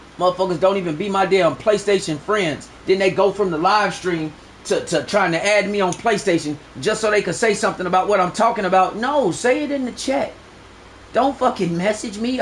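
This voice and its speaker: Over noticeable background noise, a man speaks loudly and fairly quickly in a high pitch with ordinary variation. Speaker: gaming streamer. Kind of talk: live stream rant. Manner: animated.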